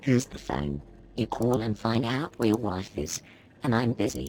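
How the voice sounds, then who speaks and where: This man's pitch falls in the medium range. He is doing a put-on character voice. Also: moderate pace. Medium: video game. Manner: irritable, curt.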